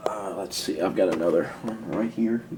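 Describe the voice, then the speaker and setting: Noticeable background noise runs behind a man speaking at a moderate pace with ordinary pitch variation. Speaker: hobbyist video maker. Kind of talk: casual tutorial. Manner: soft-spoken, talking lowly; halting, rambling with fillers.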